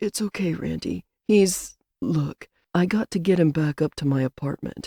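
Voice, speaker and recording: A woman's raspy, put-on character voice, fairly low in pitch, at a moderate pace. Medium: read story.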